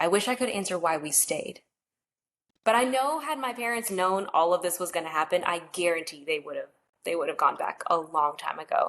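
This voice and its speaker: A woman with an ordinary speaking voice talks at a moderate pace in a medium pitch, her intonation lively. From North Carolina, US (born in Mexico, came at two). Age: 30s. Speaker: DACA recipient sharing her story. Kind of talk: casual interview conversation.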